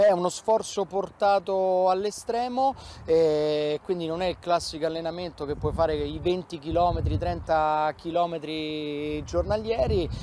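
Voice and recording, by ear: A man's dark, mellow tone sits at a fairly high pitch, moving at a fairly slow pace with ordinary pitch variation.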